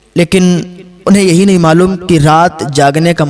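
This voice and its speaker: A man's high voice with ordinary pitch variation, over noticeable background noise. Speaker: Islamic scholar giving a sermon. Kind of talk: religious sermon (bayan) with prayer instruction.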